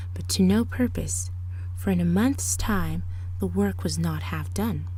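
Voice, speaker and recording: Over noticeable background noise, a woman with a very deep, low pitch speaks in a dramatic tone at a fairly slow pace. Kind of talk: ASMR storybook reading, fairy tale narration. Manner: softly spoken with occasional louder dramatic passages.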